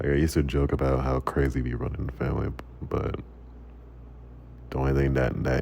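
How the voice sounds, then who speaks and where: A man's very deep, low voice, monotone and flat, at a fairly quick pace amid noticeable background noise. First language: Macedonian. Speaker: gaming vlogger. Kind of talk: casual monologue over gameplay. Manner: halting, repeats words.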